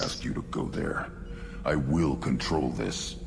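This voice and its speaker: Over loud background noise, a man uses a put-on character voice at a fairly slow pace. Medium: machinima. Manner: blunt, clipped sentences.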